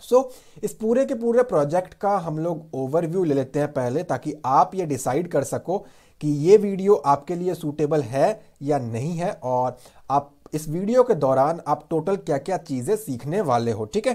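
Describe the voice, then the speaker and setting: In a very clean recording with a silent background, a man speaks at a fairly high pitch with lively intonation and a dark, mellow tone. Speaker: web development tutor. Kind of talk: tutorial.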